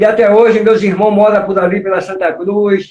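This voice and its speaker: Pitched high, a man speaks fairly slowly. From Salvador, Bahia, Brazil. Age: 60s. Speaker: capoeira master. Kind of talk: interview on live stream. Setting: online live stream.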